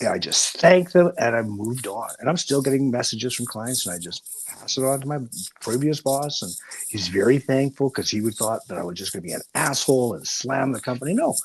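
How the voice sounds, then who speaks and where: Lively intonation and big swings in loudness come through at a fairly quick pace, with noticeable background noise behind. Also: man, medium pitch for a man. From Canada (Saskatchewan). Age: 60s. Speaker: recovering alcoholic guest. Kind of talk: casual chat.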